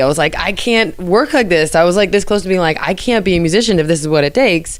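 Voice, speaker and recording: With an American accent, a woman of medium pitch talks at a very fast pace with lively intonation and hardly any pauses over noticeable background noise. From New Jersey. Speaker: jazz vocalist and band leader. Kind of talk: interview. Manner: casual, lots of filler words.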